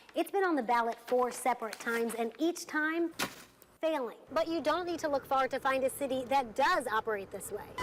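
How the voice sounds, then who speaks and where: Against noticeable background noise, a woman with a high pitch and ordinary pitch variation talks at a fairly quick pace. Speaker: television news reporter. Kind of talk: TV news reporter reel, live report and package narration.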